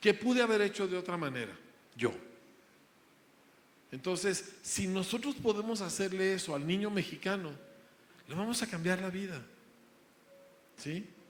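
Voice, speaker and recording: A man with a high pitch and ordinary pitch variation speaks at a moderate pace, leaving long, frequent pauses. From grew up in the United States, Mexican. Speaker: school founder, preacher. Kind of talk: interview.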